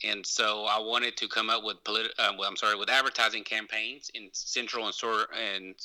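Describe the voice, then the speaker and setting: Speaking in an East Texas accent, a man keeps a fairly low pitch and a moderate pace. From East Texas (Longview), born in Mexico. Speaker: lawyer and activist. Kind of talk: interview. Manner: halting.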